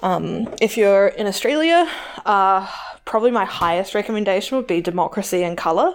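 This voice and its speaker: With a New Zealand accent, a woman talks at a medium pitch with lively intonation on a very clean recording with a silent background. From New Zealand, Tauranga. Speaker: podcast co-host. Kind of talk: casual chat.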